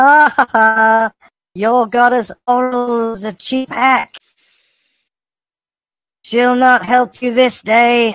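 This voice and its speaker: Someone uses a put-on character voice at a fairly high pitch, talking very slowly. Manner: mocking, gloating.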